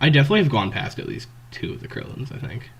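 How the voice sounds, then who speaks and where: This is a man with a medium-pitched voice. He has vocal fry. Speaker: trading card game content creator. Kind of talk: casual gameplay commentary. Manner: casual, hesitant.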